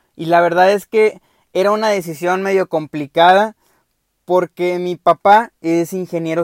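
Fairly even intonation and a fairly slow pace come through in a dry, close sound with no echo. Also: man. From Mexico, Veracruz. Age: 20s. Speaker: podcast host, mechatronics engineer. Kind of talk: casual monologue. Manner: halting, with many fillers and repetitions.

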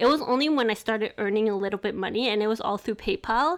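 On a very clean recording with a silent background, a woman with a fairly high voice talks very fast with ordinary pitch variation. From grew up locally, Chinese family. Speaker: podcast host. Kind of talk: casual chat.

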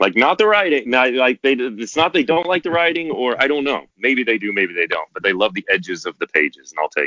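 Using vocal fry and very wide pitch swings, a man speaks at a fairly quick pace. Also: medium pitch for a man. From US Midwest, southeast Kansas. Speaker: author and TV writer. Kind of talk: casual interview.

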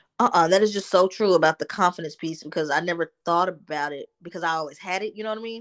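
With an American accent, a woman speaks at a very fast pace with hardly any pauses, her fairly low pitch showing ordinary variation and her loudness swinging widely, in a dry, close sound with no echo over a quiet background. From Texas, Dallas. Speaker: licensed counselor, former athlete. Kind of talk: interview.

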